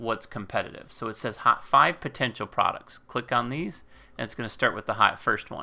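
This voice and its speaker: On a very clean recording with a silent background, a man with vocal fry and a bright, sharp tone speaks at a fairly quick pace. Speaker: YouTuber teaching Amazon selling. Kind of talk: screen-share tutorial. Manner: casual, many fillers.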